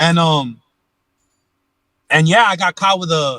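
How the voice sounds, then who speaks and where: This man's voice has a bright, sharp tone, captured dry and close with no echo in a very clean recording against a silent background. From Los Angeles, California. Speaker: former gang member and ex-prisoner. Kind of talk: interview storytelling. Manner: casual, slangy with frequent fillers.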